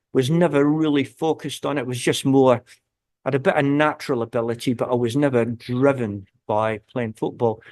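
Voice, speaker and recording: The sound is dry and close with no echo as a man speaks at a moderate pace and medium pitch with fairly even intonation. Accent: Scottish. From Scotland, South Lanarkshire. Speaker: football guest. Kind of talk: casual interview chat.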